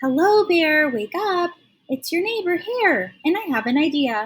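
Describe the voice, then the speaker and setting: A woman uses a squeaky, extremely high-pitched put-on character voice at a moderate pace. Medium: read story.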